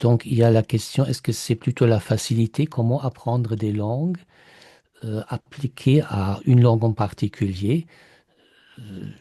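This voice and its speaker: With a German accent, a man speaks fairly slowly in a dark, mellow, somewhat breathy tone, his loudness swinging widely, his pitch varying in an ordinary way, and the sound dry and close with no echo. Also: medium pitch for a man, quiet background. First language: German (speaking French). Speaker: mastermind participant, German language teacher. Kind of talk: group sharing on video call. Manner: halting, many hesitations.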